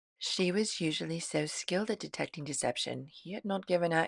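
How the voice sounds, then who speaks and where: Fairly low in pitch with vocal fry, a woman talks at a very fast pace with ordinary pitch variation. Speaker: author and audiobook narrator. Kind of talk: audiobook reading.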